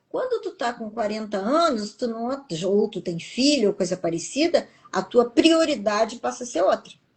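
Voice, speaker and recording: Intonation rises and falls in a lively way, and there is some breathiness to the voice. The delivery is neither fast nor slow. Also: woman, fairly high pitch for a woman. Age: 60s. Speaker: TV professional and public speaker, interviewee. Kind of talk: interview.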